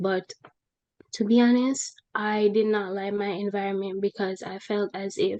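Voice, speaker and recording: A woman's medium-pitched voice in a Jamaican accent, monotone and flat, at a moderate pace, with dry, close sound and no echo. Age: 20s. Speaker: human resources professional. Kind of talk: interview testimony.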